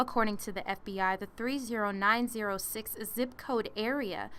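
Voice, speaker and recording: A woman speaks at a fairly high pitch with a bright, sharp tone. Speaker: news reporter. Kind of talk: TV news report.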